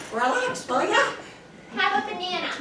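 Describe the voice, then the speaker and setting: A squeaky, put-on character voice at an extremely high pitch and moderate pace, with a slight echo and loud background noise. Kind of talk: comic stage acting. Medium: stage play. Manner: sardonic, deadpan.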